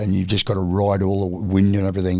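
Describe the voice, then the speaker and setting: A man with an Australian accent and a very deep, low pitch talks at a very fast pace. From Australia, Queensland (North Stradbroke Island). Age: 60s. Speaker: surfer and retired carpenter. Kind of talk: casual interview chat.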